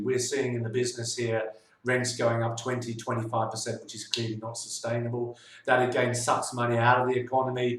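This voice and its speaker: Speaking at a fairly quick pace, a man with a London accent keeps a medium pitch over noticeable background noise. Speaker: financial adviser. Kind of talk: monthly video newsletter update. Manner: hesitant, many filler sounds.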